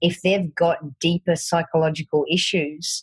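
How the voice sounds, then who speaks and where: In a strong Australian accent, a woman speaks with a fairly low pitch, a somewhat breathy quality and monotone, flat intonation, the sound dry and close with no echo. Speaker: fitness coach. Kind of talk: podcast interview.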